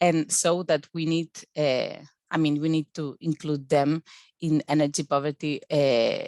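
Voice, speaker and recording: A woman speaks in a very deep, low pitch with ordinary pitch variation. The sound is dry and close, with no echo. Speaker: PhD researcher. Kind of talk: academic presentation. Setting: video call webinar. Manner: halting, many fillers and repetitions.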